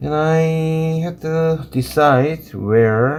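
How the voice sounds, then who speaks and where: With a Korean accent, the speaker uses lively intonation at a very slow pace. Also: man. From South Korea. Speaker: watercolor artist and teacher. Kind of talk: live painting tutorial. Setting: livestream. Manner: halting.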